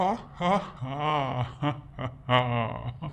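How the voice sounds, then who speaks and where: This is a cartoonish character voice. Its pitch sits in the low-to-middle range. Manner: playful, mischievous.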